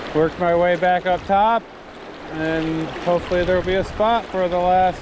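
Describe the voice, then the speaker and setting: The sound is dry with no echo, the pace moderate, and background noise noticeable. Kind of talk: casual vlog commentary. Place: waterside. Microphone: phone near.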